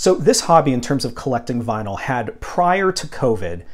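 Over a quiet background, a man speaks with vocal fry at a moderate pace. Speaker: vinyl collector vlogger. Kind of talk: casual vlog chat. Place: home room. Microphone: lapel.

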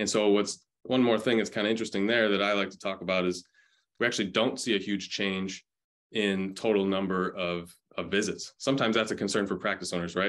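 In an American accent, a man speaks fairly quickly at a fairly low pitch with monotone, flat intonation against a quiet background. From Chicago area, US Midwest; Illinois. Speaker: physical therapist, health tech company representative; podcast guest. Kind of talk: interview podcast, casual business chat. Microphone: earbuds.

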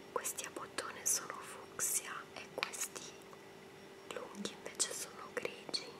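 A woman speaks in a whisper at a very slow pace. Long pauses come often. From Italy. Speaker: ASMR creator. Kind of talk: casual talk to camera, show and tell. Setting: indoor home recording. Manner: whispered, soft-spoken. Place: home room. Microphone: webcam.

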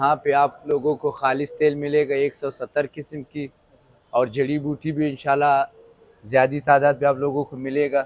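A man speaks at a fairly slow pace in a monotone, flat intonation, with a dry sound and no echo. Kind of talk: interview answer. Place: shop. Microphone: lapel.

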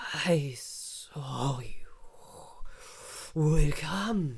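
This put-on character voice is raspy and sits at a middle pitch. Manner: eerie, otherworldly.

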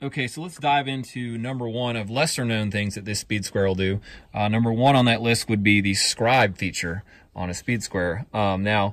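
The sound is dry with no echo as a man speaks at a moderate pace, his pitch varying in an ordinary way. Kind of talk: tutorial. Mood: relaxed, upbeat. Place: open country. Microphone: phone near.

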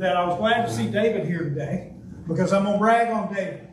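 A man's high-pitched voice with ordinary pitch variation, audible room echo and light background noise. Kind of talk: speech at a club meeting. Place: meeting room. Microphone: podium.

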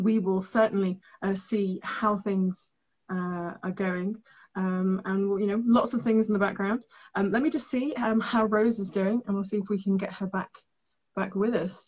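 A woman's somewhat breathy voice at a moderate pace, with fairly even intonation. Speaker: live stream host. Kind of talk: casual host chat. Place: home room.

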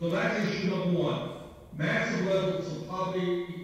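A man with a high pitch at a moderate pace, in strong room echo. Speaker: remote guest. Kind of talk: political speech. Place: home room. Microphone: video call.

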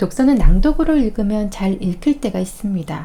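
Speaking at a fairly slow pace, a woman uses a medium pitch with very wide pitch swings. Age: 40s. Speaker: vlogger. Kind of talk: reading aloud.

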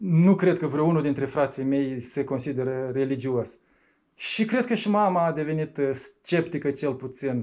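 A man with a normal speaking voice, fairly high pitch, ordinary pitch variation, fairly slow pace, quiet background. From Moldova. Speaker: atheist activist; interviewee. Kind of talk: interview. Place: meeting room.

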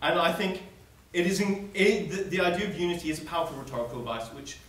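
At a fairly quick pace, a man talks with audible room echo around him. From South Africa. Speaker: student debater. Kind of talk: debate speech. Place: hall. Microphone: camera far.

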